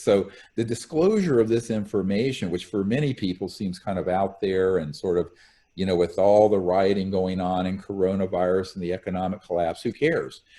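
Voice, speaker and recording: This man has a dark, mellow tone and a fairly low pitch. His pitch varies in an ordinary way. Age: 60s. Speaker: UFO researcher, former physician. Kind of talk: interview.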